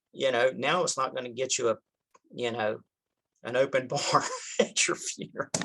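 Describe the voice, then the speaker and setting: A man with a Southern US accent talks at a moderate pace and a medium pitch, his tone bright and sharp. His intonation is fairly even, broken by long, frequent pauses. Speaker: insurance broker. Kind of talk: interview conversation.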